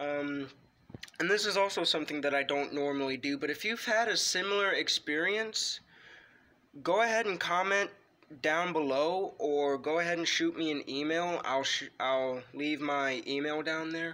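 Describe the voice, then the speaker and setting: This man's voice is bright and sharp, with fairly high pitch. He keeps a moderate pace and ordinary pitch variation. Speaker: wrestling video creator. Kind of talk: ghost story telling, personal true-account told casually to camera. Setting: home-recorded video. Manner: halting, hesitant, filled with ums and restarts; earnest, tense, fearful tone, emphatic. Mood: calm, earnest. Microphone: phone near.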